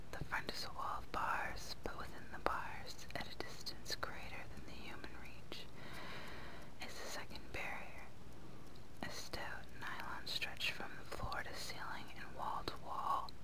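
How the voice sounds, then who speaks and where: Whispering woman in a soothing tone, fairly slow pace, with noticeable background noise. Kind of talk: whispered audiobook reading of a novel. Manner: whispered, soothing.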